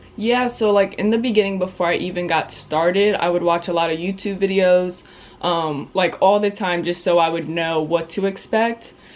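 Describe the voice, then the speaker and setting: Over noticeable background noise, a woman talks at a moderate pace in a medium pitch with fairly even intonation. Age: 20s. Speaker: real estate agent, vlogger. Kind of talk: interview answers.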